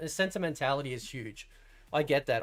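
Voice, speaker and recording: This man speaks in an Australian accent. The words rush out very fast. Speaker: fighting game streamer. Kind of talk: casual chat. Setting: live stream. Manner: animated.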